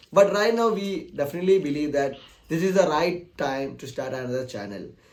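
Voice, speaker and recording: Fairly high pitch from a man with a Keralan accent, a fairly quick pace and lively intonation, plus audible room echo and noticeable background noise. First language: Malayalam. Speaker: technical YouTuber. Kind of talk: channel announcement talk. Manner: halting, many fillers.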